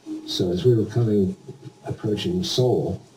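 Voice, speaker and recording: Speaking with an American accent, a man uses lively intonation at a fairly low pitch. He goes at a very slow pace, with noticeable background noise. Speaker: war veteran; retired air force pilot. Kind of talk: interview answer. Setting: home recording, low quality.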